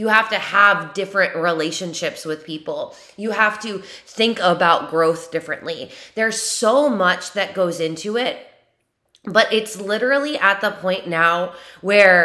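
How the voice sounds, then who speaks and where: A woman speaks at a fairly slow pace in a medium pitch with ordinary pitch variation. Her tone is bright, sharp and animated. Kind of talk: pep talk. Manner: animated, emphatic and motivational, with direct 'you' address.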